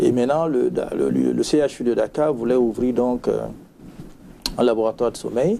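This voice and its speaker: A man at a moderate pace with long, frequent pauses and noticeable background noise. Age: 60s. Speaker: retired physician, sleep medicine specialist. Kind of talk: interview.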